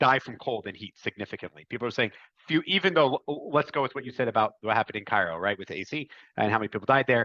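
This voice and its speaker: A man speaks at a medium pitch in a bright, sharp tone with ordinary pitch variation. The sound is dry and close with no echo, over a quiet background. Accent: American. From United States. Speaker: podcast host. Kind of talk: interview.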